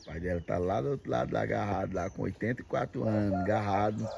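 Very deep, low male voice at a fairly quick pace, ordinary pitch variation and noticeable background noise. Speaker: video blogger showing farm life. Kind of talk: casual talk to camera. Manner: upbeat. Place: farm machine. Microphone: phone near.

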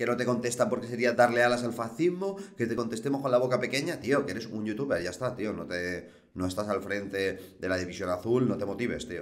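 Very fast male speech full of lively intonation. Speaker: political commentator. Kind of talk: commentary. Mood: irritated, mocking. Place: home room. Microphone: webcam.

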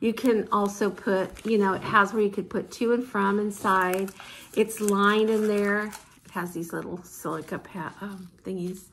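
Flat, monotone speech from a woman at a moderate pace, with light background noise. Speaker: vlogger. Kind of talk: casual vlog haul. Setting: at home, filming herself with mom nearby. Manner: chatty, informal. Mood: cheerful, delighted. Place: home room. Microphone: phone near.

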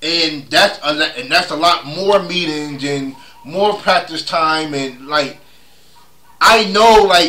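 Very slowly, a man speaks in a raised, projected voice with ordinary pitch variation. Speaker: sports vlogger. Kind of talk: casual vlog commentary. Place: home room. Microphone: phone near.

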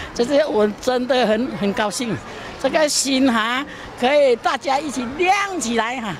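Noticeable background noise sits under a woman with a high pitch. She speaks at a fairly slow pace in a dry sound with no echo. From Malaysia. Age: 70s. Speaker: charity volunteer. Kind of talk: interview answer. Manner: cheerful, upbeat. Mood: cheerful, laughing.

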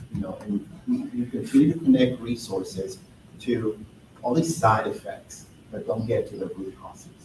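Noticeable background noise runs under the speech. The loudness swings widely. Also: man, moderate pace. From Nicaragua. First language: Spanish. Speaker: housing advocate; panelist. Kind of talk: panel discussion. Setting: gallery with live audience. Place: hall.

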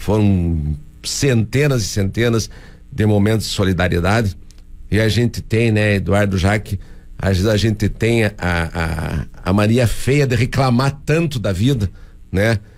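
A man's fairly low voice at a fairly slow pace, its pitch varying in an ordinary way. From Paraná, Brazil (União da Vitória). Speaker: mayor. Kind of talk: radio interview. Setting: radio studio. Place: studio. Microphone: studio mic.

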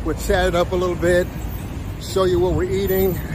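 Over noticeable background noise, a man's voice comes through as dry with no echo. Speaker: travel vlogger. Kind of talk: casual vlog chat. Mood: cheerful, relaxed. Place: street. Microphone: phone near.

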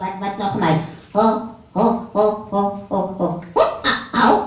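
A cartoonish character voice, fairly high in pitch and fairly slow, with a slight echo. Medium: puppet.

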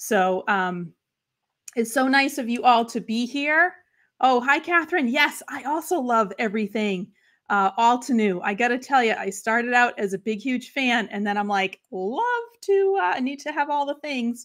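A woman with a high pitch speaks at a fairly slow pace with lively intonation. The background is quiet. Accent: American. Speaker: crafting livestream host. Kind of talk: casual livestream chat. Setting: live stream. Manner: warm, chatty. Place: home room. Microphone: webcam.

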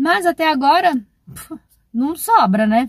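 Recorded with a dry sound, no echo and a quiet background, a woman speaks at a moderate pace. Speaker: travel vlogger. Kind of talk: casual vlog chat. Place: car. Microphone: phone near.

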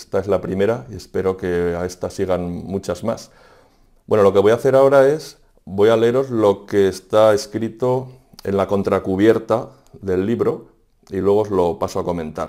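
A man speaks at a moderate pace with a fairly low pitch and a dark, mellow tone. His pitch variation is ordinary, and the background is quiet. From Aragon, Spain (Fonz, Huesca); Aragon, Spain. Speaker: writer and secondary school teacher. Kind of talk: reading aloud; book presentation. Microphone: lapel.

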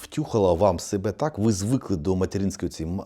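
Over a very clean recording with a silent background, a man talks at a fairly quick pace with lively intonation. His pitch is very deep and low, and his tone is dark and mellow. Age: 50s. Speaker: psychologist blogger. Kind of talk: monologue to camera.

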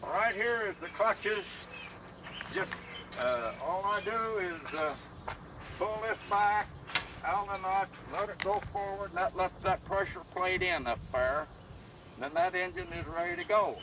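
A man speaks in a raised, projected voice with long, frequent pauses, on a dry recording with no echo and noticeable background noise. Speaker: antique tractor collector. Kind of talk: demonstration explanation. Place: open country. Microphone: camera far.

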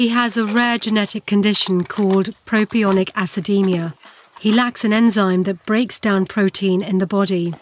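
A British accent at a moderate pace, fairly even in intonation and very even in loudness, with a dry, close sound and no echo. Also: woman, medium pitch for a woman. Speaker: documentary presenter and reporter. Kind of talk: documentary narration and interviews.

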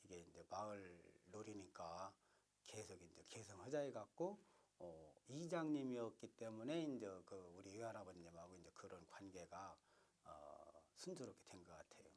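A plain, everyday voice at a moderate pace, with lively intonation and big swings in loudness. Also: man, fairly low pitch for a man. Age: 50s. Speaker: traditional puppet theatre preservation society head. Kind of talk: interview answer.

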